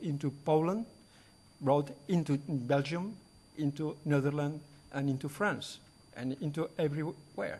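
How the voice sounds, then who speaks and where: Somewhat breathy and fairly high, a man's voice moves at a moderate pace with ordinary pitch variation. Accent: Spanish. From Spain. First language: Spanish. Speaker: conference speaker. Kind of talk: lecture. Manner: halting.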